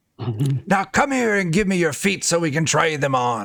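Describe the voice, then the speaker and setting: This man puts on a character voice, fairly high-pitched and moving at a moderate pace. Hissing runs through the clip. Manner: seductive, coaxing.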